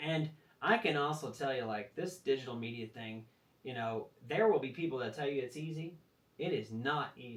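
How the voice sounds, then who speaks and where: A man with a plain, everyday voice speaks at medium pitch and a moderate pace, with lively intonation. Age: 40s. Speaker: rodeo athlete. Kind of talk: casual chat.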